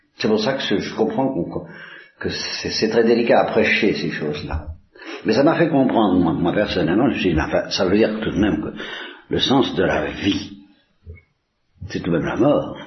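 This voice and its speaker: Lively in intonation, a man with a fairly low voice talks at a moderate pace with long, frequent pauses, and room echo is audible. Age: old. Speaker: priest. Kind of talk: religious talk. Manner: halting.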